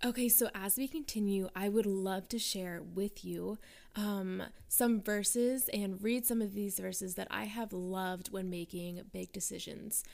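A woman speaks at a fairly slow pace in an ordinary speaking voice. Her intonation stays fairly even. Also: medium pitch for a woman. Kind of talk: guided prayer.

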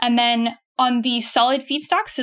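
With a Canadian accent and a plain, everyday voice, a woman speaks at a moderate pace, fairly high in pitch and with fairly even intonation. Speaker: startup chief of staff. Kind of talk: casual interview chat.

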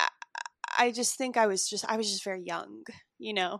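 Speaking at a fairly quick pace in an American accent, a woman uses a medium pitch with ordinary variation, her sound dry and close with no echo against a quiet background. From Chicago suburbs, US Midwest. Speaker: actor. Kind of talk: interview.

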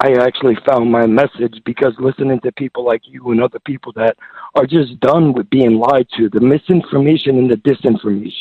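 An unremarkable speaking voice from a man, medium in pitch with ordinary pitch variation, at a fairly quick pace. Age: 30s. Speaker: caller. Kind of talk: call-in talk. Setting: phone call. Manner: rambling.

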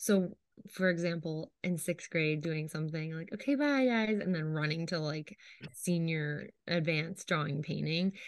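A woman with an American accent talks at a moderate pace in a fairly low pitch, using ordinary pitch variation and a plain, everyday voice. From New York State. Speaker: artist and art teacher. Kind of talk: casual chat.

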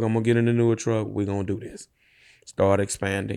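With a Louisiana accent and a dark, mellow tone, a man talks very fast in a very clean recording with a silent background. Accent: Southern US, Louisiana. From rural Louisiana, East Feliciana Parish. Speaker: dump truck business owner. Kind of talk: interview conversation.

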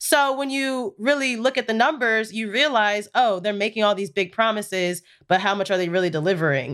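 A woman with a normal speaking voice talks at a fairly high pitch and a fairly quick pace, with lively intonation and hardly any pauses. The recording is very clean, with a silent background. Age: 20s. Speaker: social media producer. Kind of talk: casual chat.

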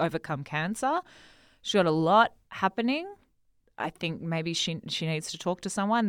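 In an Australian accent, a woman talks at a moderate pace with ordinary pitch variation. The recording is very clean, with a silent background. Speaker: guest co-host. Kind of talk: casual chat.

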